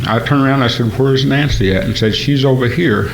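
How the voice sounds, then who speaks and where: A man's fairly even intonation amid music in the background and audible room echo. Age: 60s. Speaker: gospel singer. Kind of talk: testimony. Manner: halting.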